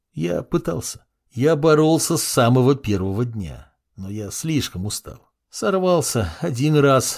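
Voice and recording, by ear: Someone is reading aloud in a natural voice, the intonation lively and the background quiet.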